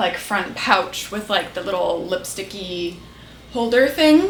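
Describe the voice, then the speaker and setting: Speech comes at a moderate pace amid noticeable background noise and audible room echo. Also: woman. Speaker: beauty and lifestyle YouTuber. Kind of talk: casual chat. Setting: bedroom. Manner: animated.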